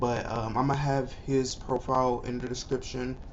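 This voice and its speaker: Speaking at a medium pitch, a man is heard with audible room echo. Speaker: YouTuber. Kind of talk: casual reaction video intro.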